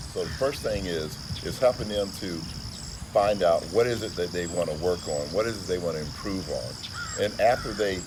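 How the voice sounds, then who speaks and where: Amid noticeable background noise and audible room echo, a man with a very deep, low pitch speaks at a moderate pace with ordinary pitch variation. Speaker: motivational speaker. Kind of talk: interview. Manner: formal.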